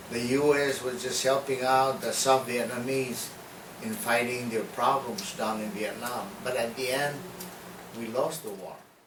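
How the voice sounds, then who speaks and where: A man talks fairly slowly with ordinary variation in pitch, amid clear background noise and audible echo from the room. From Guam. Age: 60s. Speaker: war veteran. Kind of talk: oral history interview. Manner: halting, with fillers.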